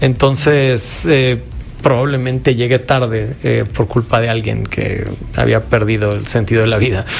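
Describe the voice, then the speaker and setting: Against noticeable background noise, a man speaks at a fairly slow pace with a medium pitch and fairly even intonation. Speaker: filmmaker. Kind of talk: casual chat.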